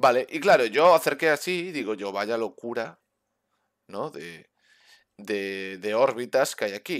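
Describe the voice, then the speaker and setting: Over a quiet background, a man speaks at a fairly slow pace with long, frequent pauses, very wide pitch swings and big swings in loudness. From Spain. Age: 30s. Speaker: gaming streamer. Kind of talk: casual chat. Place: home room. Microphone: headset.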